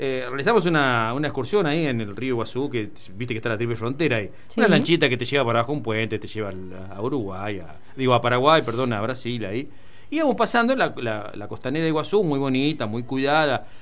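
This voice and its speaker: Very fast pace from a man, ordinary pitch variation throughout. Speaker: radio host or panelist. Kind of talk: casual radio talk, storytelling. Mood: amused, mocking. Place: studio. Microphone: studio mic.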